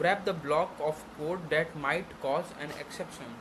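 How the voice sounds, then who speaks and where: Against noticeable background noise, a man with an Indian accent speaks in a fairly high voice. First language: Hindi. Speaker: programming tutor. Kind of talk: tutorial. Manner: halting.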